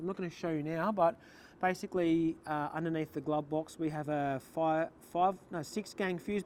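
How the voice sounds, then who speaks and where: A man with an Australian accent speaks at a moderate pace in a high voice, his intonation fairly even. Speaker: vehicle builder / workshop owner. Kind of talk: walkaround tutorial. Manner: casual with fillers.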